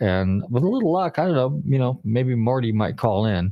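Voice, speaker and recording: The background stays quiet. Over it, a man speaks at a moderate pace. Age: 60s. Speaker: radio host, car appraiser. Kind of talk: casual chat. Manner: halting, filler-heavy.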